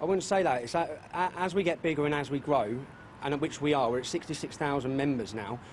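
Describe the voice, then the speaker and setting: Over noticeable background noise, a man talks at a fairly quick pace. His pitch is fairly high, with ordinary variation. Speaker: political activist leader. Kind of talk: live TV news interview answer. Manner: halting, reading out answers.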